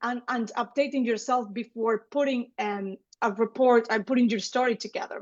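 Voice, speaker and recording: A woman with a Spanish accent speaks in a high pitch. Her pace is moderate and her intonation fairly even. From Spain, Seville, Andalusia. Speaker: gender specialist. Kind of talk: online lecture.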